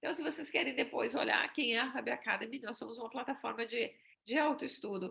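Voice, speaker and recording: With a Brazilian accent, a woman talks at a fairly quick pace in a high pitch, using a bright, sharp tone and ordinary pitch variation. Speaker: exchange agency presenter. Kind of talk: webinar presentation.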